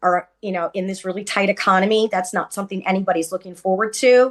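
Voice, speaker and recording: Against a quiet background, a woman talks at a fairly quick pace with a medium pitch and fairly even intonation. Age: 60s. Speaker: home care worker and union member. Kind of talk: panel testimony. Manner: hesitant with fillers.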